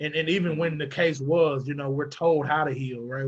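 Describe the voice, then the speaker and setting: A man with a Southern US accent speaks at a moderate pace in a somewhat breathy voice with monotone, flat intonation. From US South, Arkansas. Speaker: mental health advocate. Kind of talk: panel discussion. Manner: hesitant, many fillers.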